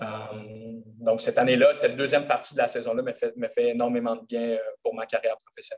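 A man with a Quebec accent talks at a very fast pace, with big swings in loudness and long, frequent pauses. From Quebec, Gatineau. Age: 20s. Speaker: professional footballer. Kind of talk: interview. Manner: halting.

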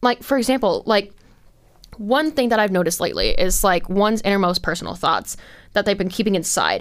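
Using an ordinary speaking voice, a woman with an American accent talks at a fairly quick pace. Her pitch sits in the medium range, with ordinary variation and very even loudness. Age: 20s. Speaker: podcast host. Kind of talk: solo commentary monologue. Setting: studio. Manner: rambling, filler-heavy.

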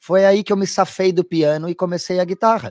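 On a very clean recording with a silent background and a dry, close sound with no echo, a man speaks at a fairly quick pace. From southern Brazil, Porto Alegre. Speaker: guitarist. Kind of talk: casual interview.

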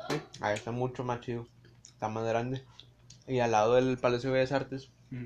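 A man with a Mexican accent, medium pitch, flat monotone intonation and a fairly quick pace. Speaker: friend of the host. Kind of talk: casual chat.

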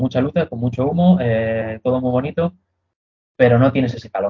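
Somewhat breathy in tone, a man's voice sits at a medium pitch. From Madrid, Spain. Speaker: metal band vocalist. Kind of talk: interview.

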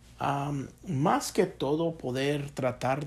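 This is a man speaking. His pace is very slow. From Chicago. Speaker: business professor. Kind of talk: interview. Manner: hesitant with many fillers.

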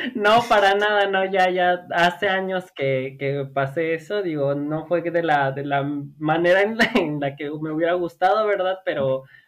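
Against noticeable background noise, a high-pitched man speaks at a fairly slow pace with hardly any pauses and ordinary pitch variation. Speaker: podcast guest. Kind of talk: casual chat.

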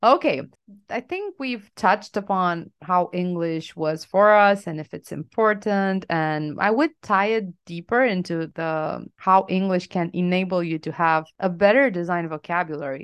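At a fairly slow pace and with hardly any pauses, a woman with a Romanian accent speaks with ordinary pitch variation. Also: medium pitch for a woman. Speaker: UX designer and podcast co-host. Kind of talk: casual chat.

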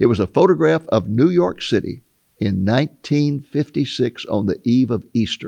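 A man with vocal fry and a dark, mellow tone swings very widely in pitch at a moderate pace, the sound dry and close with no echo. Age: 80s+. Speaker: author and Bible prophecy teacher. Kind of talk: interview.

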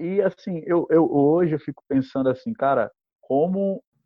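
His intonation is lively. The man delivers his words at a moderate pace. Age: 30s. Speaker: law graduate, course student. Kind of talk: casual interview. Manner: halting, many fillers.

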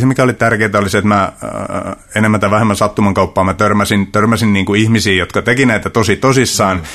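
A man speaks with a fairly low pitch. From Central Finland, rural. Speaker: martial arts coach. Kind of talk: casual interview. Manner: halting, many repetitions and fillers.

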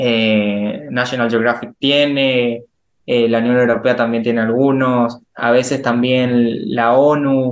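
A man talks at a very slow pace. His intonation is flat and monotone. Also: medium pitch for a man, very even loudness. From Argentina, Resistencia, Chaco. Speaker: chemical engineer. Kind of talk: interview conversation.

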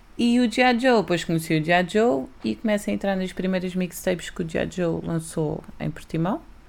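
A woman has an unremarkable speaking voice at medium pitch, with lively intonation. She speaks at a moderate pace with hardly any pauses. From Algarve, Portugal (early childhood in Lisbon). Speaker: rapper. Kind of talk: casual interview.

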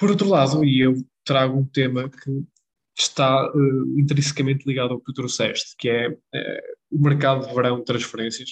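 Somewhat breathy and medium in pitch, a man talks at a moderate pace with fairly even intonation in a dry, close sound with no echo. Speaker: football podcast co-host. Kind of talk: casual chat.

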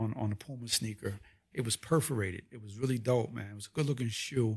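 A man's somewhat breathy, medium-pitched voice in a New York accent, with ordinary pitch variation and a fairly quick pace, in a very clean recording with a silent background. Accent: New York area. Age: 50s. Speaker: visual artist. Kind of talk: casual interview. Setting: host's home office.

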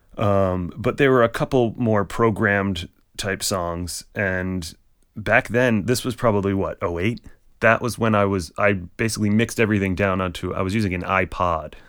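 An ordinary speaking voice with an American accent moves at a moderate pace and fairly even intonation in a very clean recording with a silent background. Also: man, fairly low pitch for a man. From Rhode Island, US. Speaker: touring drummer. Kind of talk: casual interview.

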